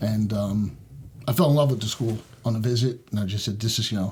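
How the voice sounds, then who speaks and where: With a slight New York accent, a man speaks in a dark, mellow tone that is somewhat breathy. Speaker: sheriff's deputy. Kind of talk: podcast interview. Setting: church. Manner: hesitant, many fillers.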